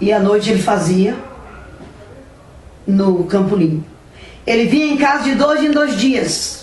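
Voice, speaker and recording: Amid noticeable background noise and audible room echo, a woman with a fairly high pitch speaks at a fairly slow pace with long, frequent pauses, lively intonation and very even loudness. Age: 70s. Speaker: mother telling her life story. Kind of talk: personal testimony.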